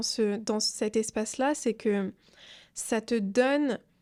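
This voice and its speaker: A woman speaks in a calm tone with ordinary pitch variation. The recording is very clean, with a silent background. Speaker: entrepreneur and social media creator. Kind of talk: casual interview chat.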